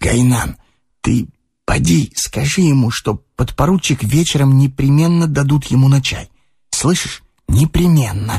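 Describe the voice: Doing a put-on character voice, a man speaks fairly slowly at a medium pitch, his dark, mellow tone carrying a husky, rough edge and vocal fry, with lively intonation.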